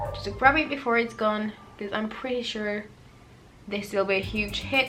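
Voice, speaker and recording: A woman with a non-native accent at a fairly high pitch and moderate pace, fairly even in intonation, over music in the background. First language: not English. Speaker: beauty vlogger. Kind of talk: makeup tutorial / first impressions. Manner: casual, chatty.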